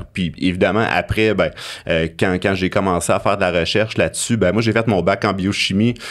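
In a Quebec accent, a man with fairly low pitch speaks at a moderate pace, with fairly even intonation, very even loudness and a quiet background. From Abitibi, Quebec. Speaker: university professor and researcher. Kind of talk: interview conversation. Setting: studio. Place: studio. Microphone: studio mic.

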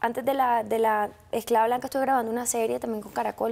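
A woman speaks in a Colombian coastal accent with a dark, mellow tone and fairly high pitch. Her fairly quick delivery has monotone, flat intonation. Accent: Colombian coastal (costeño). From Colombian Caribbean coast, Sincelejo. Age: 20s. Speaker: actress. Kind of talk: interview. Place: studio. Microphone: lapel.

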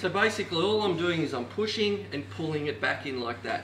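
This man talks at a fairly quick pace. Light background noise and audible room echo are present. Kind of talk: tutorial. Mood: light-hearted, joking. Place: kitchen. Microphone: camera far.

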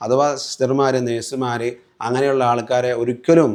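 With a medium pitch, a man delivers his words in a monotone, flat intonation. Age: 40s. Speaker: Islamic religious teacher, patient. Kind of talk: patient testimonial.

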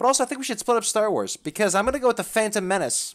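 A man speaks over a quiet background. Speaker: podcast host. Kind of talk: casual podcast discussion.

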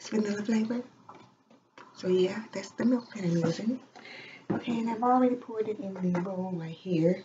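A soft-spoken woman at a moderate pace, with long, frequent pauses and noticeable background noise. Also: medium pitch for a woman, ordinary pitch variation. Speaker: ASMR vlogger. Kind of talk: casual talk to camera. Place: home room. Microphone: webcam.

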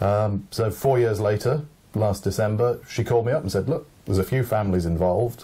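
Speaking at a fairly quick pace with an English accent, a man with a fairly low, dark and mellow voice sounds somewhat breathy, his loudness very even and his pitch variation ordinary. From England. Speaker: photographer. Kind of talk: speech, then interview. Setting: library event. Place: home room.

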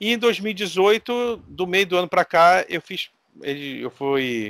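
Against a quiet background, a man talks with very wide pitch swings in a dry sound with no echo. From Brazil. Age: 40s. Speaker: RPG game master, content creator; podcast guest. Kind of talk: casual chat. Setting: online call. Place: home room.

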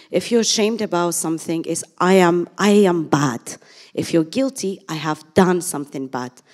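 Her pace is moderate, and the background is quiet. The woman speaks at a fairly low pitch with lively intonation. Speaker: clinical psychologist. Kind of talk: panel discussion. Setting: stage with audience. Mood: earnest, explanatory. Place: hall. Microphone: handheld.

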